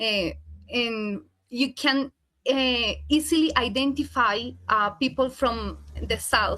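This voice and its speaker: Speaking at a very slow pace with long, frequent pauses, a woman uses a high pitch and a bright, sharp tone, with ordinary pitch variation and very even loudness. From Colombia, Santander. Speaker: professor. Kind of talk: casual chat.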